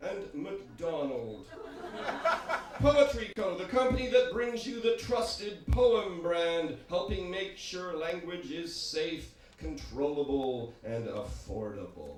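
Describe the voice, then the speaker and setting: A man's high voice, very slow and swinging very widely in pitch, over noticeable background noise. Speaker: spoken word poet. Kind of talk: satirical spoken word performance.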